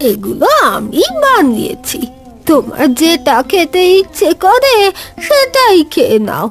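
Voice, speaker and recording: Over clear music in the background, a woman uses a cartoonish character voice at an extremely high pitch, with very wide pitch swings and a very slow pace. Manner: warm, motherly.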